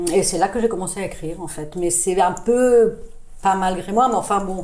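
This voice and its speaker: A woman talks at a moderate pace and medium pitch. Her intonation is fairly even, with audible room echo. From international childhood, born in Boston, then England, France from age 13. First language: not French (speaking French). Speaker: radiologist and short-story writer. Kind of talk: podcast interview. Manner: hesitant, many fillers and repetitions.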